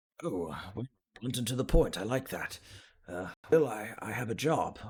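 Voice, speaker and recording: Using a put-on character voice, a man speaks raspily at a medium pitch and a moderate pace, with lively intonation and big swings in loudness. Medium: actual play. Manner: polite, hesitant, old-fashioned courtesy.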